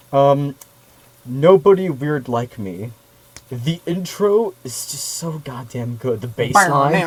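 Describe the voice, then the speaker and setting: Amid noticeable background noise, a man speaks at a very slow pace with lively intonation and big swings in loudness. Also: fairly high pitch for a man. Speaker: music podcast co-host. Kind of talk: casual chat.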